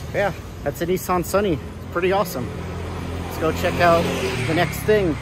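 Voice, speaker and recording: Noticeable background noise surrounds a man's voice. The sound is dry with no echo. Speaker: car enthusiast vlogger. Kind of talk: casual vlog chat. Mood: relaxed, enthusiastic. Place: street. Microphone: phone near.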